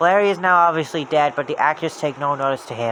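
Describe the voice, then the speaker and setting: A man's fairly high voice at a very fast pace, with ordinary pitch variation over noticeable background noise. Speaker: creepypasta narrator. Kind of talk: horror story reading.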